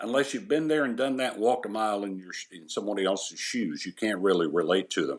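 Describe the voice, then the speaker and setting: A man with a fairly low pitch talks at a very fast pace, his loudness swinging widely. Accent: East Tennessee. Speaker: retired sports anchor. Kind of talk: casual interview.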